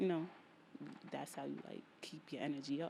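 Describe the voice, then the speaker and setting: The voice carries a strong New York accent and a dark, mellow tone with vocal fry. Its intonation is fairly even and its pace moderate. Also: woman. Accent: thick New York. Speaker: podcast host. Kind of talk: solo podcast monologue. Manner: casual, repetitive.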